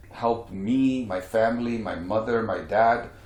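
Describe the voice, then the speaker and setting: There is audible room echo as a man speaks at a medium pitch with fairly even intonation. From India. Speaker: real estate mentor and speaker. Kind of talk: interview.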